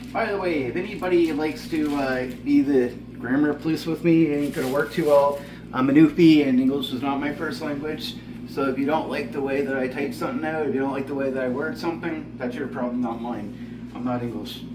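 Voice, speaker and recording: A man speaks with a fairly high pitch. Noticeable background noise and audible room echo are present. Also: ordinary pitch variation. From Newfoundland, Canada. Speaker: home cooking show host. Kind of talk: cooking tutorial. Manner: casual, frequent filler words.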